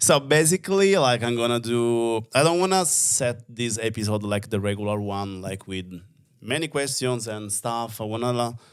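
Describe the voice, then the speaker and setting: With an Italian accent, a man speaks at medium pitch and a moderate pace with lively intonation. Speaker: podcast host. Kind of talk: casual conversation. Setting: studio.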